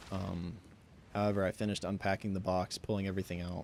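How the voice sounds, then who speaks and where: Talking at a very fast pace, a man uses a fairly low pitch and a monotone, flat intonation. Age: 20s. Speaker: video game streamer. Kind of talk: casual chat.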